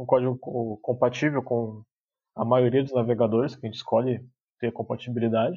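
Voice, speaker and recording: Here a man talks at a very fast pace. His medium-pitched voice is somewhat breathy. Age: 20s. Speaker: tech lead developer. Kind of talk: casual chat.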